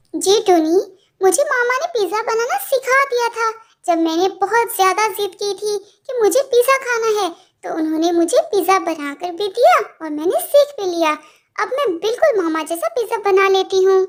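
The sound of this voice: A woman's cartoonish character voice, extremely high in pitch, with lively intonation at a moderate pace.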